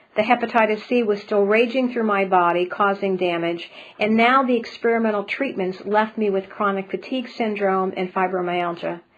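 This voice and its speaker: Noticeable background noise sits behind the voice. The speech runs at a moderate pace with hardly any pauses and fairly even intonation. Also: woman, medium pitch for a woman. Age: 60s. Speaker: spiritual healer and speaker. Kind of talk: webinar presentation.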